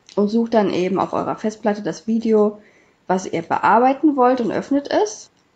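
This woman speaks at a moderate pace with lively intonation and a dark, mellow tone. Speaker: YouTuber. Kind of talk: tutorial. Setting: screen recording voiceover.

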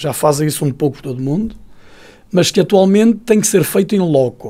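A man's high-pitched voice with a dark, mellow tone, lively intonation and a moderate pace, against a quiet background. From northern Portugal, Paredes area; northern Portugal. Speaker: university engineering researcher and lecturer; lecturer. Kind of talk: radio interview. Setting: radio studio. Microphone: studio mic.

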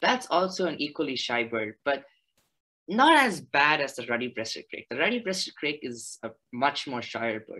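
A man's fairly high-pitched, bright, sharp voice at a moderate pace, with lively intonation, big swings in loudness, long, frequent pauses and a quiet background. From India, Chennai; India. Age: 20s. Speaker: naturalist and graduate student; presenter. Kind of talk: presentation. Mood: enthusiastic, friendly. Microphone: video call.

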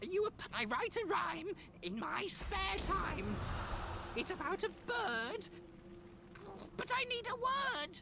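A put-on character voice, squeaky and extremely high in pitch, speaks at a fairly slow pace with long, frequent pauses. Clear background noise sits behind it.

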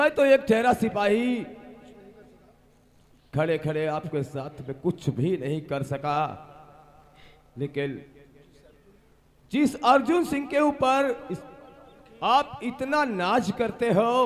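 A man puts on a character voice, pitched high with big swings up and down. He speaks slowly, with long, frequent pauses.

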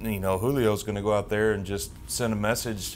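A man speaks with a Southern US accent at a moderate pace, his pitch fairly low. His intonation stays fairly even over light background noise. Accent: Southern American. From US South, Tennessee (Knoxville); Tennessee. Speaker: team alumni host, former pitcher; team alumni host. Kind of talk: interview. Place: studio.

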